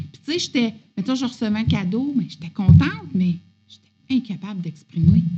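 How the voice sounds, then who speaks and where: A woman with a Quebec accent, medium pitch, lively intonation, moderate pace and big swings in loudness. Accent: Québécois French. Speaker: podcast guest sharing spiritual journey. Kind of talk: casual chat.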